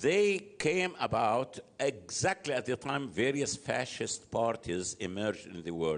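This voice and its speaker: Speaking with an Arabic accent, a man keeps to a fairly slow pace at medium pitch, with vocal fry. His pitch swings are very wide. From Egypt. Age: 70s. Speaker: political analyst. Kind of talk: interview. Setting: live venue.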